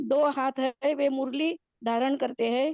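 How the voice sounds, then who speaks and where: Fairly even intonation with a Marathi accent. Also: woman. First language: Marathi (speaking Hindi). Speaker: devotee participant. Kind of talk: devotional study recap. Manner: halting, many fillers.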